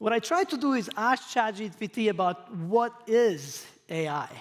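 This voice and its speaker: A man speaks at a very slow pace with a non-native accent. His pitch is high and his intonation lively. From Croatia. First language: not English. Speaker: professor. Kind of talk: lecture.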